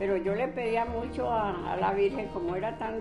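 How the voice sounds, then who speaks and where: Music plays in the background as a woman speaks. Her pace is moderate and her pitch medium. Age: 80s+. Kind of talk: storytelling interview answer.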